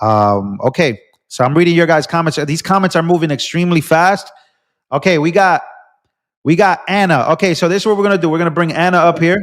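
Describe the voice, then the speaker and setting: On a very clean, silent recording, a man with a high voice speaks very fast in an animated tone, his intonation lively and his loudness very even. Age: 20s. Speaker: political live streamer. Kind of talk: live stream commentary.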